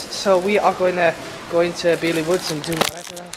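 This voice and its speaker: There is noticeable background noise. A woman speaks at a fairly quick pace. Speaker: vlogger filming. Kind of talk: casual vlog chat. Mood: playful, joking. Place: shop. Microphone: phone near.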